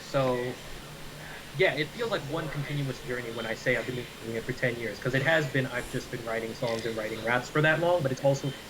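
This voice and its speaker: A man at medium pitch with fairly even intonation and a fairly quick pace, over noticeable background noise. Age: 20s. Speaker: rapper. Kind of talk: interview.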